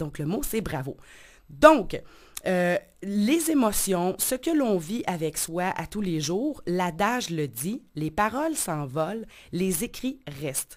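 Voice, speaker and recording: Very wide pitch swings mark this very slow delivery. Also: woman, medium pitch for a woman. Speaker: life coach and radio columnist. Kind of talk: radio column.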